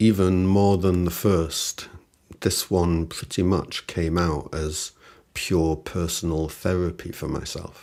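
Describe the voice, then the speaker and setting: A man speaks very slowly in a very deep, low voice with flat, monotone intonation. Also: very clean recording, silent background. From northern England, Salford. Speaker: musician and songwriter. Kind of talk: personal reflective monologue. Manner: reflective.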